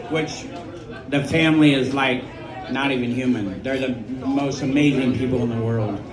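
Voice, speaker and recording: Over noticeable background noise and audible room echo, a man speaks at a moderate pace with long, frequent pauses. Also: medium pitch for a man, fairly even intonation. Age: 70s. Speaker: restaurant owner. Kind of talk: memorial tribute speech.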